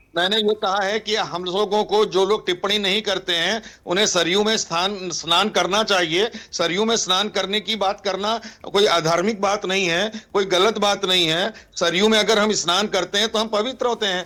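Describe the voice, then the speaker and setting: Over noticeable background noise, a man uses a raised, projected voice at high pitch. His intonation is monotone and flat, and his loudness stays very even. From north India, Ganges region. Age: 60s. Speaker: panelist. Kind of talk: heated debate.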